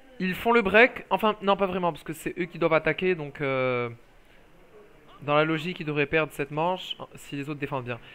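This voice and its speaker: Loud and animated, a man talks at a fairly high pitch with ordinary pitch variation. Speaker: esports commentator. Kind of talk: live commentary.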